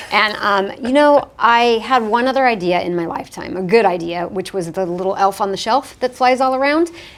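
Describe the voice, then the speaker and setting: A woman with a fairly high voice talks at a fairly quick pace with lively intonation over noticeable background noise. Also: hardly any pauses. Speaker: entrepreneur and former CEO. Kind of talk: interview. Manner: fast.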